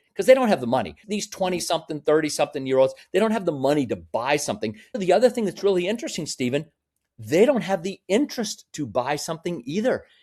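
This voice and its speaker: A man at a very fast pace, animated, high in pitch with very wide pitch swings, on a very clean recording with a silent background. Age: 60s. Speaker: real estate developer and company executive. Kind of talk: interview conversation.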